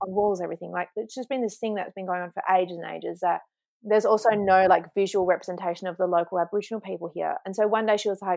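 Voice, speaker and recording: Talking at a very fast pace with an Australian accent, a woman uses a medium pitch and fairly even intonation in a dry, close sound with no echo. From Australia, Kalgoorlie (regional WA). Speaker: artist and queer community organiser. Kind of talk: interview. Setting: remote call.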